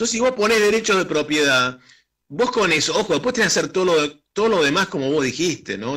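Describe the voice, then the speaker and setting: At a fairly quick pace, a man speaks in a bright, sharp tone with very wide pitch swings. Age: 60s. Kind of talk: radio interview discussion. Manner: halting, many fillers and restarts; animated, emphatic.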